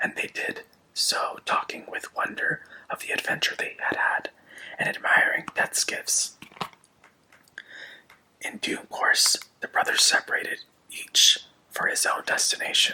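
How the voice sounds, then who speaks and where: Someone whispers at a fairly slow pace with long, frequent pauses, against noticeable background noise. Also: man. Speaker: ASMR content creator. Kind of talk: ASMR story reading.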